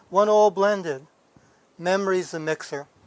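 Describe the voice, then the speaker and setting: A man speaks with an American accent and ordinary pitch variation. The recording is very clean, with a silent background. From New York, the Bronx. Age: 60s. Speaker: book dealer. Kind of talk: documentary interview.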